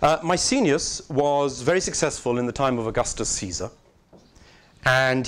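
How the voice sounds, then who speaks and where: A British accent from a man, fairly high in pitch, with lively intonation at a moderate pace. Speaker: arts organization director. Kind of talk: conference talk. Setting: conference with live interpreters.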